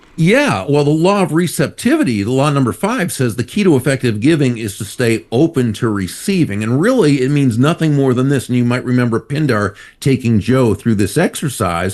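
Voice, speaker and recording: Fairly quick and with hardly any pauses, a man talks at medium pitch in an ordinary speaking voice. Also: lively intonation, quiet background. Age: 60s. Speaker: author and speaker. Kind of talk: interview.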